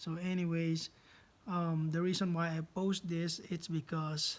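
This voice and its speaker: Talking at a fairly slow pace, a man has a high-pitched voice. He speaks with a non-native accent. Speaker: drone hobbyist YouTuber. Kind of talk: tutorial. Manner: halting, many fillers; casual.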